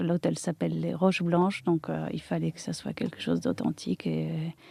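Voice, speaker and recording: The woman's voice sounds dry and close with no echo against a quiet background. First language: Polish (speaking French). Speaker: architect and interior designer. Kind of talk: interview. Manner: halting.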